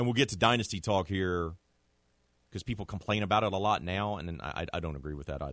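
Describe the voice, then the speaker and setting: Against a quiet background, a man speaks in a very deep, low pitch with ordinary pitch variation. His pace is very fast. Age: 40s. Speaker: sports podcast host. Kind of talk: casual sports talk.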